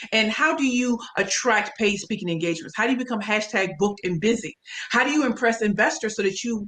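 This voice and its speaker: With a St. Louis accent, a woman speaks fairly quickly in an animated tone, her fairly high voice showing ordinary pitch variation. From US Midwest, St. Louis, Missouri. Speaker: pitch coach and speaker. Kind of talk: interview.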